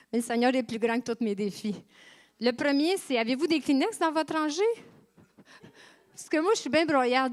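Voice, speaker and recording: A high-pitched woman speaks at a moderate pace, her intonation lively and her loudness swinging widely. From Quebec, Saint-Hyacinthe. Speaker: pastor. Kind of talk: sermon. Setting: church.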